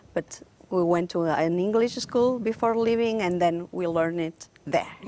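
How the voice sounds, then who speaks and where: Noticeable background noise runs under this recording. A woman speaks with a Catalan accent at a fairly low pitch. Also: ordinary pitch variation, moderate pace. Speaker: concert pianist. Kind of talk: interview.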